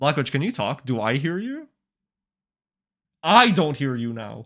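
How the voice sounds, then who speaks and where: A man's loud, bright, sharp voice, fairly high in pitch with lively intonation, moves at a fairly slow pace with long, frequent pauses on a very clean recording with a silent background. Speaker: streamer interviewing game developers. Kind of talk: casual live stream chat. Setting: live stream with guest on call. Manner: animated.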